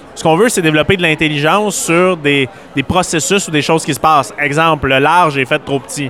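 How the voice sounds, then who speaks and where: Against noticeable background noise, a man talks at a fairly quick pace with a fairly high pitch and ordinary pitch variation. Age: 20s. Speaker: entrepreneur and conference speaker. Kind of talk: radio interview.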